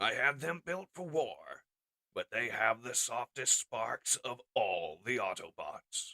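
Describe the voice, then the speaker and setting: A man adopts a put-on character voice, pitched medium and delivered at a fairly slow pace. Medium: audio drama. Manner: solemn, measured, gentle.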